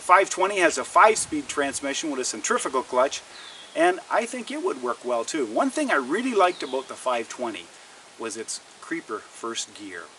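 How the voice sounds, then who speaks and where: Over noticeable background noise, a man with a Canadian accent and a fairly high pitch talks at a moderate pace, with very wide pitch swings and big swings in loudness. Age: 60s. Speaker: outdoor lifestyle vlogger. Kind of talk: casual product review vlog.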